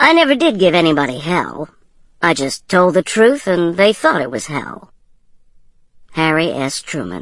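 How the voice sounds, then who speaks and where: Lively intonation and vocal fry mark this woman's fairly low-pitched voice as she speaks at a moderate pace with long, frequent pauses. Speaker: audiobook narrator. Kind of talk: audiobook narration.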